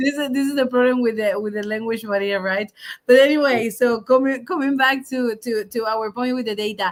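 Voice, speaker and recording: Talking at a fairly quick pace, a woman with a fairly high pitch speaks with a non-native accent. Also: ordinary pitch variation. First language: not English. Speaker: podcast co-host. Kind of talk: casual chat.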